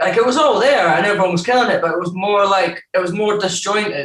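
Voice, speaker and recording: A man with an Edinburgh accent talks at a fairly quick pace with ordinary pitch variation. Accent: Scottish (Edinburgh). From Scotland, Edinburgh (born in Newcastle). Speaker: rapper and producer. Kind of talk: casual chat. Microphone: connection issues.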